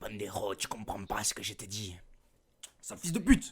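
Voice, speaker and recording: A man puts on a raspy character voice at a fairly low pitch, keeping a moderate pace. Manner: mocking, exaggerated.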